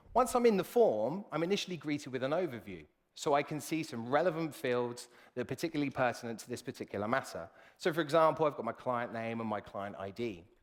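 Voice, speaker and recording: Speaking very fast in a British accent, a man with a fairly high voice swings widely in loudness. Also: very clean recording, silent background. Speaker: software solutions consultant. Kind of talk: live product demo presentation.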